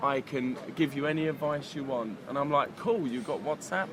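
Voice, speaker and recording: Noticeable background noise sits under speech at a moderate pace with a London accent. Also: man. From London, England. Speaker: dating coach. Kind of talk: casual chat. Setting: cafe.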